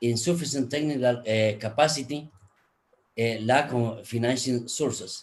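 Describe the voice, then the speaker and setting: The voice is somewhat breathy. It carries a Spanish accent. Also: man, medium pitch for a man, fairly even intonation, moderate pace. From Guatemala. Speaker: energy efficiency expert, conference speaker. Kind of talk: conference presentation. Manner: halting, many fillers.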